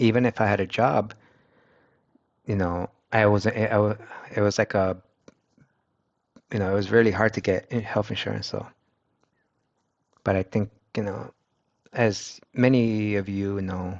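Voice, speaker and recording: A man speaks at a moderate pace in a fairly low, monotone, flat voice with a Spanish accent. He leaves long, frequent pauses. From United States, Mexican-American family. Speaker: streamer. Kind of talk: casual chat. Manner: halting, with many restarts.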